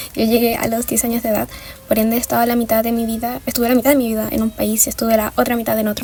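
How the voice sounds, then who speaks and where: Through noticeable background noise, a woman speaks at a very fast pace and fairly high pitch in monotone, flat intonation. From Venezuela, moved to Chile at ten. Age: 20s. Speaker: design student, activist. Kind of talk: documentary interview testimony.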